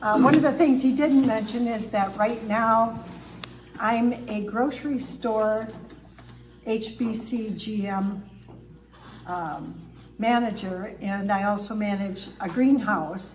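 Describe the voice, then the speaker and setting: A woman with a fairly high pitch and ordinary pitch variation speaks at a very slow pace with long, frequent pauses. Noticeable background noise and audible room echo are present. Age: 70s. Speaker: speaker, former pastor and grocery manager. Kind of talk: public talk. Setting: town hall with audience.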